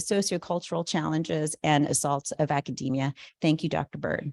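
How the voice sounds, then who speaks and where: On a very clean recording with a silent background, a woman with a very deep, low pitch speaks at a fairly quick pace with ordinary pitch variation. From Southern California, Colombian-Caribbean immigrant family. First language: Spanish. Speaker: neuropsychologist and researcher. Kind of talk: conference talk. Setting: conference room with audience. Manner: many fillers (uh, you know).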